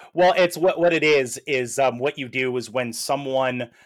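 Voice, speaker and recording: Recorded very cleanly against a silent background with a dry, close sound with no echo, a man with an American accent and fairly high pitch speaks at a fairly slow pace. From Buffalo, New York. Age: 30s. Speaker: podcast co-host. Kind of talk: casual chat. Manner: halting, many fillers.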